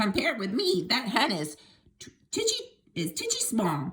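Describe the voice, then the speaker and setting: A woman shouts in a put-on character voice at a fairly high pitch. She keeps a moderate pace, with big swings in loudness. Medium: read story. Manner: shouting, scornful.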